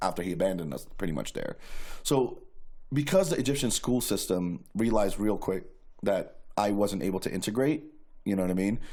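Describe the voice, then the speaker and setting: In a New York accent, a man speaks fairly quickly with a fairly low pitch, a dark, mellow tone and lively intonation. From New York City (Queens). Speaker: guest sharing life story. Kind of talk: testimony. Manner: casual, filler-heavy.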